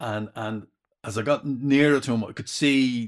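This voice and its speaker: In a Dublin accent, a man talks with ordinary pitch variation. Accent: Dublin Irish. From Dublin, Ireland (inner city). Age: 60s. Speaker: retired father, former stay-at-home dad. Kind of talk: casual chat. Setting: sitting with a microphone, first recording. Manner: halting, repeats words.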